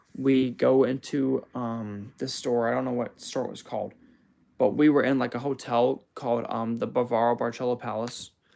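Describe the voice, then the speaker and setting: A man talks in an American accent at a moderate pace. His pitch is medium and his intonation fairly even. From United States. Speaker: music producer and livestreamer. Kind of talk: livestream chat. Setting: live stream. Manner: halting, hesitant; many fillers.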